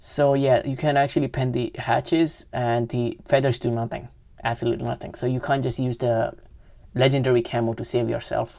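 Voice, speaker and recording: At a fairly quick pace, a woman with a non-native accent speaks in a flat monotone, her very deep, low voice dark and mellow in tone. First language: not English. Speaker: gaming youtuber. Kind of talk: gameplay commentary. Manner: halting, many self-corrections.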